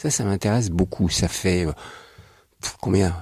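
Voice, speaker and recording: This man has a somewhat breathy voice. He talks fairly quickly. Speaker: radio interviewer. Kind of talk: radio interview questions.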